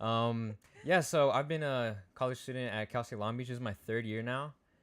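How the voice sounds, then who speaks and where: The speaker has a normal speaking voice at a moderate pace. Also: man, medium pitch for a man, ordinary pitch variation. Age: 20s. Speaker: college student. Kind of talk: casual Q&A discussion.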